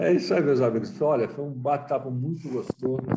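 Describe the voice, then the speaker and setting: Somewhat breathy, a man talks at a moderate pace. His tone is dark and mellow. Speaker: talk show host, federation president. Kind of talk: panel discussion.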